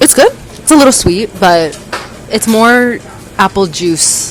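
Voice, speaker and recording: With music in the background, a woman in a New York accent speaks at a medium pitch with lively intonation. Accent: New York American. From US, New York City. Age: 20s. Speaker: traveler and former corporate consultant. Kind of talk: casual chat. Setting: convenience store.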